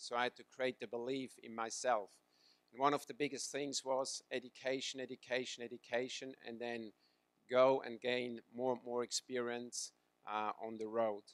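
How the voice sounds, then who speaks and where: Speaking at a moderate pace with a Swiss accent, a man keeps a monotone, flat intonation amid big swings in loudness, in a dry, close sound with no echo. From Switzerland. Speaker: swimming coach. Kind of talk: talk to audience.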